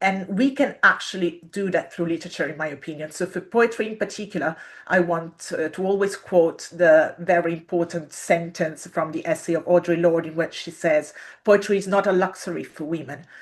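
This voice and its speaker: With an Italian accent, a woman speaks at a fairly low pitch with ordinary pitch variation. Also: moderate pace. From Italy. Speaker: literature researcher and poet. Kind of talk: interview talk. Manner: hesitant, many fillers.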